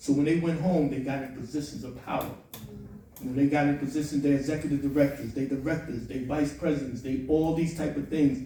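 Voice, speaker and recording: A man with a fairly high pitch speaks at a fairly quick pace in a monotone, flat intonation, with audible room echo. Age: 60s. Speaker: formerly incarcerated advocate. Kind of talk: panel discussion. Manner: impassioned.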